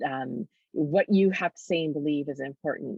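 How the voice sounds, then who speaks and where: A woman speaks at a moderate pace with lively intonation in a plain, everyday voice. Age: 40s. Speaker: author. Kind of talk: interview.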